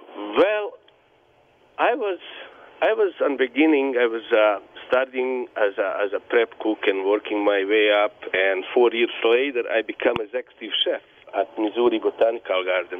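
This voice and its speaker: This voice has a Bosnian accent and moves at a moderate pace, with noticeable background noise. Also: man. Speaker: business owner, bar owner and refugee. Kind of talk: interview answers, personal story. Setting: phone call.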